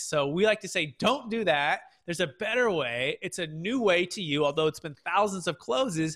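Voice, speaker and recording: A man's bright, sharp tone with a West Coast US accent. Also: very clean recording, silent background. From Northern California, Bay Area (Fremont). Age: 30s. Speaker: tax strategy firm founder, podcast host. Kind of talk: interview, explaining finance.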